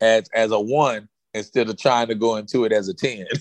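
An ordinary speaking voice from a man, mid-range in pitch, fairly even in intonation, at a medium tempo. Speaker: former NFL player and author. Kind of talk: casual interview chat. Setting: remote call from Dallas.

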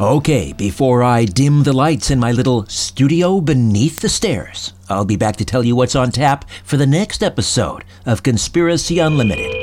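This man has an unremarkable speaking voice at a medium pitch with lively intonation. His loudness is very even, at a moderate pace with hardly any pauses. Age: 50s. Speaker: podcast host. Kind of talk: casual chat. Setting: home studio.

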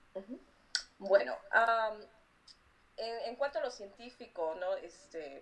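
A woman speaks at a fairly slow pace. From Peru, Lima. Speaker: artist and graphic designer. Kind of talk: interview. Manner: halting, many repeated words.

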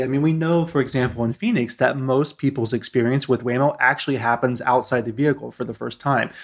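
Speaking at a very fast pace with hardly any pauses, a man keeps a medium pitch with ordinary variation. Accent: American. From US Midwest, Ohio. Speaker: tech design executive. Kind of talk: interview. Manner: hesitant, many fillers.

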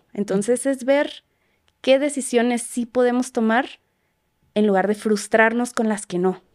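Speaking at a fairly slow pace with long, frequent pauses, a woman with a fairly high pitch shows ordinary pitch variation. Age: 20s. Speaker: psychologist. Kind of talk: casual chat.

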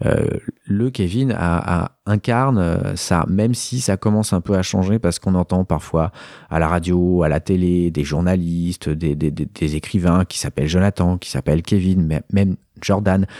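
Very deep and low in pitch, a man speaks at a fairly slow pace with a dark, mellow tone and ordinary pitch variation, recorded very cleanly against a silent background with a dry, close sound and no echo. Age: 40s. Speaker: photographer. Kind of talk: interview testimony. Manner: hesitant, many fillers.

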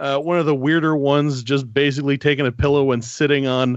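A man speaks with a Northern Ontario accent. His pitch sits fairly high for a man. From Northern Ontario, Canada. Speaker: historian. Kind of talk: interview. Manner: halting, many fillers.

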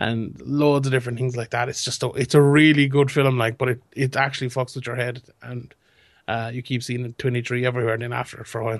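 A man's monotone, flat delivery at a very fast pace. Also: medium pitch for a man. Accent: Limerick. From Limerick, Ireland. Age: young. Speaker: MMA pundit. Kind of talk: casual chat.

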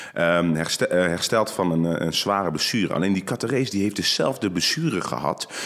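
A man talks at a moderate pace with a very deep, low pitch and ordinary pitch variation. His loudness stays very even, with hardly any pauses. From Netherlands, North Brabant. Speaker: judoka. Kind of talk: interview. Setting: studio. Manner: calm.

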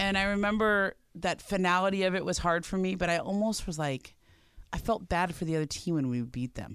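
Over a silent background on a very clean recording, a woman with an unremarkable speaking voice talks fairly quickly at medium pitch with ordinary pitch variation. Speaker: former college athlete. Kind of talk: casual chat. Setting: studio.

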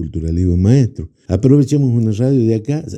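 The voice is dark and mellow in tone, with very wide pitch swings. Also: man. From Argentina, Jujuy (Quebrada de Humahuaca). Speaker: folk musician. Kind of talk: interview.

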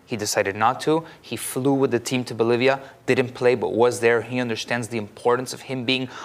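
This is a plain, everyday voice from a man at a medium pitch. He speaks at a fairly quick pace. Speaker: football pundit. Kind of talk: casual chat. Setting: studio.

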